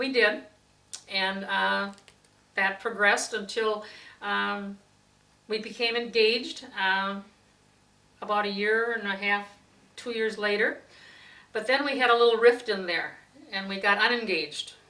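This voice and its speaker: Speaking at a fairly slow pace with long, frequent pauses, a woman with an Upper Midwest accent has a fairly high pitch, a bright, sharp tone and fairly even intonation, with audible room echo. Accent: Upper Midwest (Wisconsin). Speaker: interviewee recalling family history. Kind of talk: oral history interview. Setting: at home.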